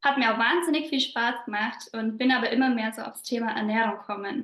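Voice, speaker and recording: A woman with a slight Bavarian accent talks at a fairly high pitch with fairly even intonation. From southern Bavaria. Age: 20s. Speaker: business coach. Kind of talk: podcast interview.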